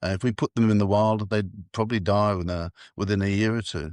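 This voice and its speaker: Over a quiet background, a man with a fairly low pitch talks at a very fast pace, the sound dry and close with no echo. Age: 80s+. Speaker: elephant park owner. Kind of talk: podcast interview. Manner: halting.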